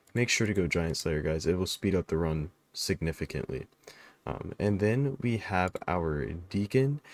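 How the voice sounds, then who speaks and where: This man's voice is very deep and low, with lively intonation. He talks at a moderate pace. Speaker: gaming YouTuber. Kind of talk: game tutorial. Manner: casual; halting, self-correcting.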